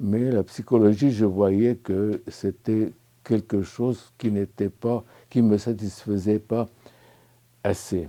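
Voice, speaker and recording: Speaking with a Lebanese accent at a very slow pace, the voice has a dark, mellow tone, fairly even intonation and long, frequent pauses. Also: man. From Lebanon. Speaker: spiritual retreat participant. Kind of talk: testimony. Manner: halting, many hesitations.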